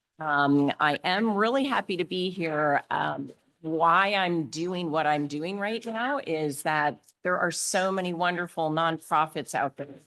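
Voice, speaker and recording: A woman talks at a fairly slow pace and fairly low pitch, with ordinary pitch variation. She has an ordinary speaking voice, and the background is quiet. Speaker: fundraising consultant. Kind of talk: workshop presentation.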